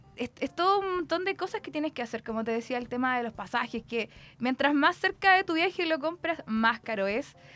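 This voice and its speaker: High-pitched woman talking at a fairly quick pace with very wide pitch swings, music in the background. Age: 30s. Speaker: student. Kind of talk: interview.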